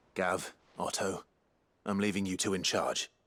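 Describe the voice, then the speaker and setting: Over a silent background in a very clean recording, a man does a raspy, put-on character voice at a moderate pace and fairly low pitch. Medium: video game. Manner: calm, quiet.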